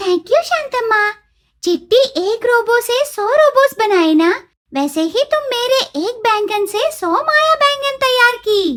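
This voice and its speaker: A cartoonish character voice speaks at a fairly slow pace. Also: female-sounding voice, extremely high pitch for a woman. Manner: brash, cheeky.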